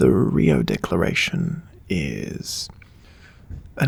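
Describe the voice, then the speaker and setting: Soft-spoken, a man talks with a New Zealand accent over noticeable background noise. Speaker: ASMR creator. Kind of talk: casual talk to camera.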